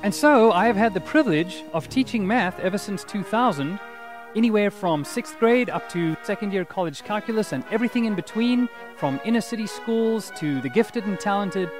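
Clear music plays behind a man speaking with a South African accent. His voice is high and dry with no echo, and his pace is fairly quick. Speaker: math teacher. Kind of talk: teacher introduction to camera. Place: street.

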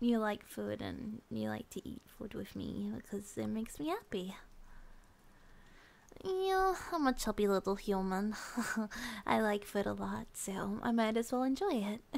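Soft-spoken and fairly slow, the voice leaves long, frequent pauses. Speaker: roleplay voice actor as girlfriend. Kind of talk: ASMR roleplay monologue. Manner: soft, drowsy ASMR girlfriend voice.

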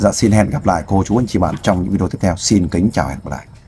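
Somewhat breathy and dark, mellow in tone, a man's fairly low voice races along at a very fast pace. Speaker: volunteer interviewer. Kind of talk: interview about a personal family story.

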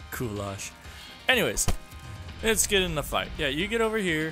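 A man speaks with music playing in the background. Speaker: gaming YouTuber. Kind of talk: casual gameplay commentary.

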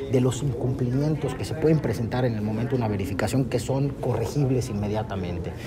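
Over loud background noise, a man speaks at a very fast pace. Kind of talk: press interview answer. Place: hall. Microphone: handheld.

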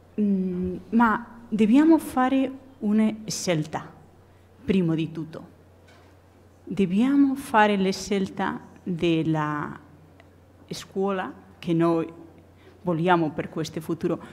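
Very slow, somewhat breathy speech in a strong Spanish accent, with lively intonation and long, frequent pauses. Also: woman. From Spain. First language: Spanish (speaking Italian). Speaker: architect and professor; professor. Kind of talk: conference talk. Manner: halting. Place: hall. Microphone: podium.

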